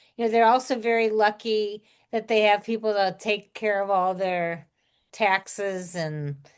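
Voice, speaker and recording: At a fairly slow pace, a woman talks in an ordinary speaking voice with medium pitch and ordinary pitch variation over a quiet background. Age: 60s. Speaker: podcast host, retired teacher. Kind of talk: casual chat.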